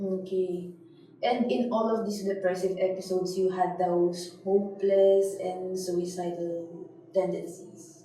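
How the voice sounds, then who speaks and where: A woman speaks with a Filipino accent in a medium pitch at a fairly slow pace, her intonation monotone and flat. Noticeable background noise and audible room echo are present. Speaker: interviewer. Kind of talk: interview.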